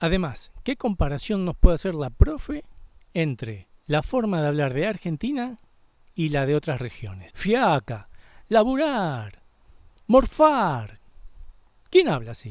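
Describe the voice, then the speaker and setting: Recorded very cleanly with a silent background, a man speaks at a fairly slow pace in a high pitch, with very wide pitch swings, big swings in loudness and long, frequent pauses. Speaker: channel host, interviewer. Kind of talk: video intro and interview questions.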